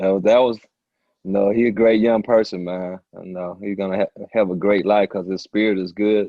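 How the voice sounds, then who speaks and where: In an American accent, a man with a fairly low pitch and a warm, relaxed tone talks at a moderate pace in a monotone, flat delivery with big swings in loudness. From Detroit, Michigan. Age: 60s. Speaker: basketball coach. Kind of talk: casual interview.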